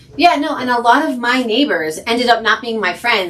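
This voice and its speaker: In a New Jersey accent, a woman talks at a fairly quick pace. Her intonation is lively. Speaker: podcast co-host, nurse. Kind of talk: casual chat. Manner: animated.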